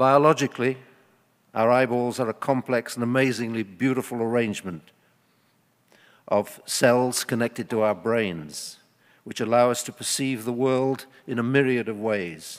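A man speaks at a medium pitch with fairly even intonation. His pace is fairly slow.

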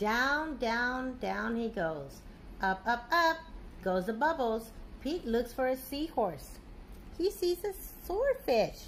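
At a slow pace, a woman talks in a fairly high pitch with big pitch swings.

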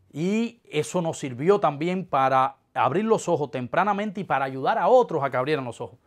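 With hardly any pauses, the speaker keeps a moderate pace and lively intonation against a quiet background. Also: man, fairly high pitch for a man. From eastern Cuba. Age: 30s. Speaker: political dissident; interviewee. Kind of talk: interview testimony. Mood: earnest, reflective. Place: office.

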